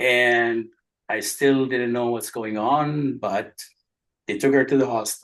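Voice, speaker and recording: A man speaks at a medium pitch and a fairly slow pace. His intonation is monotone and flat. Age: 70s. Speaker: religious scholar. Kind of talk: talk. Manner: halting.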